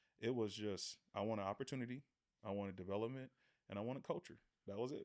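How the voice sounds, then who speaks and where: The speaker has an American accent and talks at a very fast pace. Intonation is fairly even. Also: man. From Oakland, California, US. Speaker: former pro football player. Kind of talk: casual interview.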